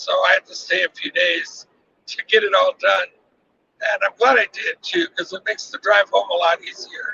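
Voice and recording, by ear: Dry and close with no echo, a man's high-pitched voice shows big pitch swings, a bright, sharp tone, vocal fry and a husky, rough edge. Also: moderate pace.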